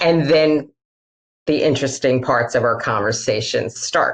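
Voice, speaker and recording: A woman with a Queens accent talks at a fairly slow pace in a very deep, low pitch. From Queens, New York City. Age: middle-aged. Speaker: author and humorist speaker. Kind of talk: interview.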